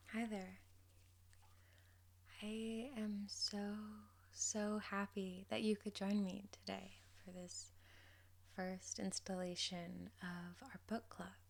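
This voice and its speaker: Soft-spoken delivery comes at a very slow pace with long, frequent pauses over noticeable background noise. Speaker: ASMR creator. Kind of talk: casual talk to camera.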